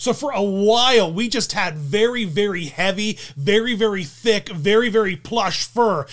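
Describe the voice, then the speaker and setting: Against a quiet background, a man speaks in a high voice. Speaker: video host. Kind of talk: casual vlog commentary. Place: home room. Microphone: studio mic.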